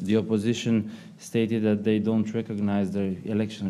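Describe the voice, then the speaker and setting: This man talks at a fairly low pitch in a dark, mellow tone. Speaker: policy analyst. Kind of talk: seminar presentation. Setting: stage with audience. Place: meeting room. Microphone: podium.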